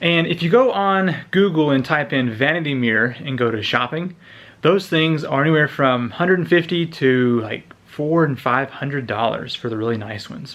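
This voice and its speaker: Speaking at a moderate pace, a man uses a fairly high pitch and lively intonation. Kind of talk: casual vlog talk to camera. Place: home room. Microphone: phone near.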